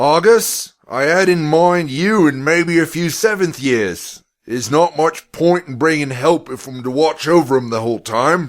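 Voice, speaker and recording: A loud, gruff put-on character voice at a moderate pace with hardly any pauses. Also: man, fairly high pitch for a man. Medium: read story.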